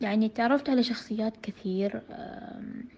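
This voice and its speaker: Somewhat breathy and with a Hejazi accent, the speaker talks at a fairly slow pace. The intonation stays fairly even. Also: woman. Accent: Hejazi Saudi Arabic. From Saudi Arabia, Jeddah (Hejaz). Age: 30s. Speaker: visually impaired trainer and guest. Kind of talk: interview.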